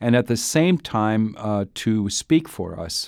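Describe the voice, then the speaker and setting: A man with an American accent, fairly low in pitch, at a fairly slow pace with ordinary pitch variation, on a very clean recording with a silent background. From US Upper Midwest, Duluth, Minnesota. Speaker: bishop. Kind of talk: interview. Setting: studio. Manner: halting, many fillers and repetitions.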